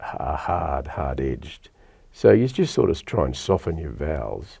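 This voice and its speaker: Speaking at a moderate speed, a man talks with an Australian accent. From Melbourne, Australia (Lalor). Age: 60s. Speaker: radio presenter. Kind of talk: casual chat. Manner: hesitant.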